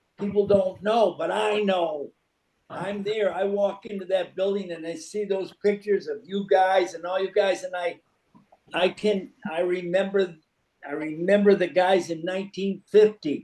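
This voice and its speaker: A man with an American accent speaks in a high pitch. His pace is fairly slow. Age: 80s+. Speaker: former college basketball player. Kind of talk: casual chat.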